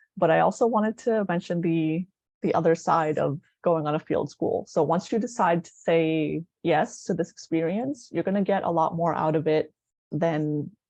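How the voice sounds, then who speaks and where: A woman's fairly low voice with a Greek accent, dark and mellow in tone, at a moderate pace with ordinary pitch variation, in a dry, close recording with no echo. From Greece. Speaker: anthropology student. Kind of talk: presentation.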